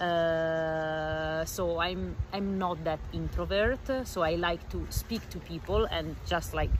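Someone speaks with an Italian accent against noticeable background noise. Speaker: fellow traveler. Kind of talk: casual interview. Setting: outdoors.

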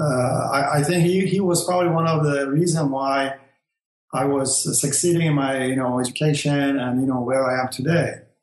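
A man speaks with a Persian accent at a moderate pace. His intonation stays fairly even. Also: fairly high pitch for a man, very even loudness. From Iran. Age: 60s. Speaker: engineer, host's father. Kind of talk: interview. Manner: halting.

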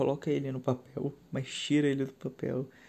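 A man speaks at a moderate pace with a dark, mellow tone. His pitch sits fairly high. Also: quiet background. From São Paulo city, Brazil. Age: 20s. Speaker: podcast host, IT worker. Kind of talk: solo podcast monologue. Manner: halting, with fillers.

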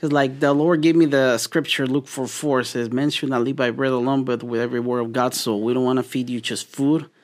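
In a very clean recording with a silent background, a man with a Spanish accent talks at a fairly quick pace with hardly any pauses, his medium-pitched voice keeping a fairly even intonation. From Mexico. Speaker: meal prep business owner. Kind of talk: interview conversation. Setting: studio.

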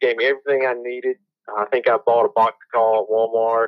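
A man speaks at a fairly quick pace with a Mississippi accent. His medium-pitched voice stays monotone and flat. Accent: Southern US (Mississippi). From US South, Mississippi Gulf Coast. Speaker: PhD student and turkey hunter. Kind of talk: casual interview chat. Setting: remote call.

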